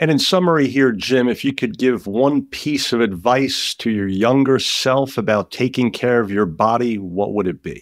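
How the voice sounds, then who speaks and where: A man with an American accent and an unremarkable speaking voice talks at a moderate pace with hardly any pauses. His medium pitch carries lively intonation on a very clean recording with a silent background. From New York (Brooklyn). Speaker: podcast host. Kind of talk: interview.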